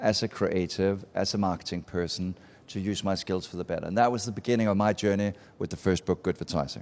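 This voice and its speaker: Very fast speech from a man with a fairly low voice and a Danish accent, fairly even in intonation, on a very clean recording with a silent background. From Denmark. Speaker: marketing speaker and author. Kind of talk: live talk to audience. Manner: casual, conversational.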